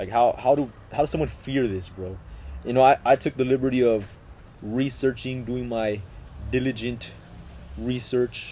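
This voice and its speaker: With a Spanish accent and a dark, mellow tone, the speaker keeps a moderate pace broken by long, frequent pauses. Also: man, medium pitch for a man. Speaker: podcast host. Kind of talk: casual chat. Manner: animated.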